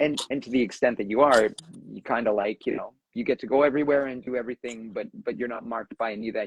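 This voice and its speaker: A man talks at a medium pitch with fairly even intonation. The sound is dry and close, with no echo. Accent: Southern Ontario. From Southern Ontario, Canada. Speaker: discussion moderator, university academic. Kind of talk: casual live discussion. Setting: Instagram live stream. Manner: conversational with many fillers and restarts.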